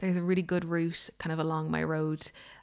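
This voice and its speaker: In an Irish accent, a woman speaks in a fairly low, flat monotone on a very clean recording with a silent background. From Ireland. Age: 30s. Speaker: baker and podcaster. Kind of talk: casual solo vlog update. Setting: home kitchen.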